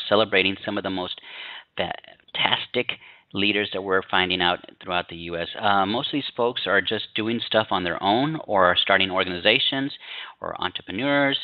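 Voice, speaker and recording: With an ordinary speaking voice, a man talks at a moderate pace, fairly low in pitch, with ordinary pitch variation. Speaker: online news interviewer. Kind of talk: interview introduction.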